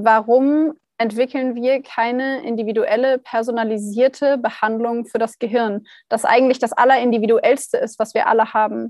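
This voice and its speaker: This woman has a fairly high pitch and fairly even intonation, speaking at a moderate pace. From northern Germany, Hannover. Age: 20s. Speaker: startup founder. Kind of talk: casual interview. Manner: hesitant with many fillers.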